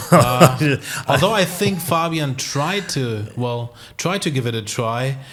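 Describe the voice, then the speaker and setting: With a German accent, a man speaks very slowly in a fairly high voice with lively intonation, amid noticeable background noise. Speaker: disc golf commentator. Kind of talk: live commentary.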